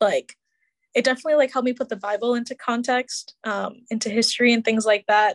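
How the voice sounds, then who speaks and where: In a dry, close sound with no echo and a quiet background, a woman with an American accent and a fairly high pitch speaks at a very fast pace with fairly even intonation. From Chicago area. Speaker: podcast team member, recent graduate. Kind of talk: interview. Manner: casual, hesitant.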